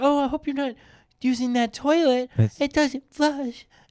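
Put-on character voice, high in pitch, at a moderate pace

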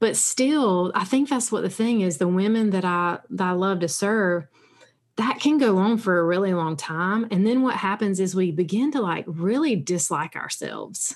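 Lively intonation marks this woman's unremarkable speaking voice, which is medium-pitched and moves at a moderate pace. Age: 40s. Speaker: sobriety coach and podcast host. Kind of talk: interview.

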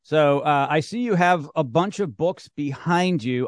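A man with an ordinary speaking voice talks at a fairly slow pace and a fairly high pitch, with ordinary pitch variation, a dry, close sound with no echo, and a quiet background. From Canada. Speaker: podcast host. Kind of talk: casual interview.

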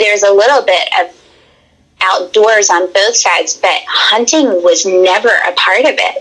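A woman with a Southern US accent at a moderate pace, against noticeable background noise. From Tennessee. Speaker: hunter. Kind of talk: casual chat.

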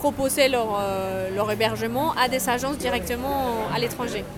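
A woman's high voice, fairly slow, with ordinary pitch variation and noticeable background noise. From Colombia. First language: Spanish (speaking French). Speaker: travel agency founder. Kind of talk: interview. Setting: café.

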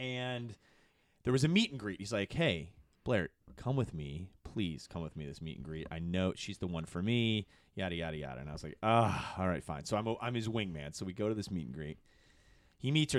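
Over a very clean recording with a silent background, a man with an American accent talks at a fairly quick pace in a fairly low voice, with very wide pitch swings and big swings in loudness. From Michigan, US. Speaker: comedy TV producer. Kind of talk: casual interview. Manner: animated; talkative.

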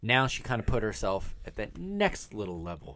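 A man with a normal speaking voice and a fairly low pitch talks at a fairly slow pace. His intonation is lively, and the background is quiet. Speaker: podcast co-host. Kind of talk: casual chat. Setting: studio.

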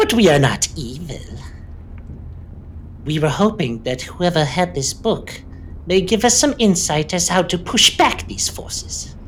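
Put-on character voice at a middle pitch, broken by long, frequent pauses over clear background noise. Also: moderate pace. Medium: actual play. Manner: cackling, smooth and wheedling.

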